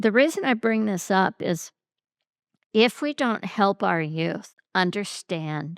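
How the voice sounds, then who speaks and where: A woman with an American accent speaks at medium pitch and a very slow pace, with lively intonation. The recording is very clean, dry and close, with a silent background and no echo. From US Midwest, St. Louis, Missouri. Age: 70s. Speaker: podcast host, movement teacher. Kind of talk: interview conversation.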